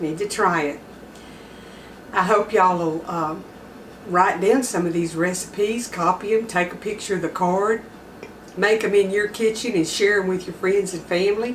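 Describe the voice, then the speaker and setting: With noticeable background noise, a woman in a Texas accent speaks at a moderate pace and medium pitch, her intonation fairly even and her pauses long and frequent. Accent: Southern US (Texas). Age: 60s. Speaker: home cooking channel host. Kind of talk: cooking tutorial. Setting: home kitchen. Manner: casual, folksy.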